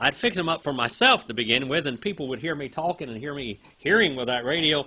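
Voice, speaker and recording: With lively intonation and vocal fry, a man speaks at a very fast pace. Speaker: Bible teacher. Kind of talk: lecture; casual storytelling. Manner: halting; animated.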